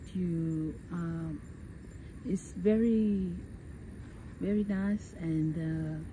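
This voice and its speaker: A woman talks at a very slow pace over light background noise, the sound dry with no echo. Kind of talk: interview answer. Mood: calm, reflective. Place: waterside. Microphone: phone near.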